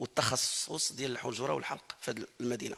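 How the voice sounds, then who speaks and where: The speaker is a man. His pitch is medium. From Morocco. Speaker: Quran reciter. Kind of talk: testimony. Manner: halting.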